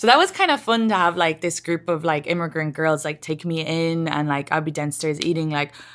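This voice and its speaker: An Irish-accented woman speaks at a fairly quick pace with hardly any pauses, her fairly low pitch held in fairly even intonation. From Ireland, small town. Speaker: comedian. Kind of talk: podcast interview. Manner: casual, lots of fillers.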